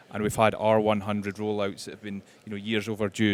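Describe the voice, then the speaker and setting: A man speaks with a West Highland Scottish accent. His pitch is fairly low and his pace fairly quick. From Scotland, Kintyre. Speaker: panelist on rural tech connectivity. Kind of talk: panel discussion. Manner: hesitant, many repeated words.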